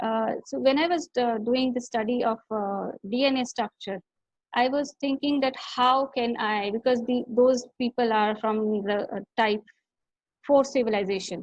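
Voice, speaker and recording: A woman's high-pitched voice keeps a fairly even intonation. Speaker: artist. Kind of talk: interview. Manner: halting.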